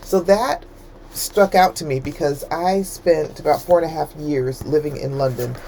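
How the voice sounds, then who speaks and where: A woman with an American accent and a very deep, low pitch, at a moderate pace, over noticeable background noise. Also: ordinary pitch variation. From United States. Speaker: book reviewer, trained librarian. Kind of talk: book review monologue. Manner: casual, hesitant with fillers.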